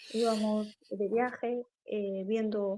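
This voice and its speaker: A woman talks at a fairly high pitch with a dark, mellow tone. Her intonation stays monotone and flat. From Galicia, Spain (Lugo). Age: 40s. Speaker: poet and writer. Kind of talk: interview conversation.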